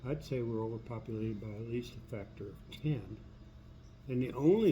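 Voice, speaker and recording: A man's somewhat breathy voice, dark and mellow in tone, at medium pitch with ordinary pitch variation, moderate pace and audible room echo. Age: 70s. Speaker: video blogger. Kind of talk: personal monologue. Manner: halting, with many fillers.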